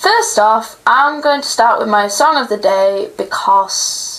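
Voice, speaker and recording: A woman talks very slowly in a British accent. Noticeable background noise runs underneath. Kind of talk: casual talk to camera.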